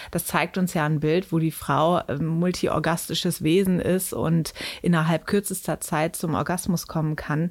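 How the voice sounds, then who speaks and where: A woman speaks at a fairly slow pace in a fairly low pitch, her loudness very even and her intonation flat and monotone. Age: 30s. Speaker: sex educator and author. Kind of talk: interview. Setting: studio.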